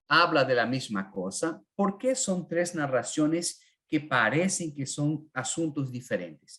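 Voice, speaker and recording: A man speaks at a fairly high pitch with lively intonation. The background is quiet. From northern Argentina (Corrientes). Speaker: Bible teacher. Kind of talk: online Bible class. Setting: live online class with chat. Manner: halting, many fillers.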